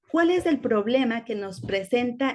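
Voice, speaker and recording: In a fairly high pitch, a woman speaks at a fairly slow pace with lively intonation. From Ecuador-born, raised in Spain. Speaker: teacher. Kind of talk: lecture.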